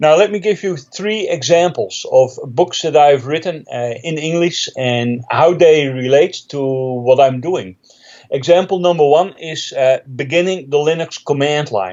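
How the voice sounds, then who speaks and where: Lively in intonation, a man speaks fairly slowly at a fairly high pitch. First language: Dutch. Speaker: Linux trainer and author. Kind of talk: interview.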